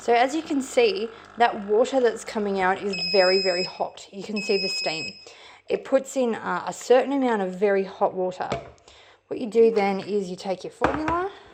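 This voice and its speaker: In an Australian accent, a woman with a fairly high voice speaks at a moderate pace with lively intonation and big swings in loudness over noticeable background noise. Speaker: parent product reviewer. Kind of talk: product review tutorial. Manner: casual, brisk.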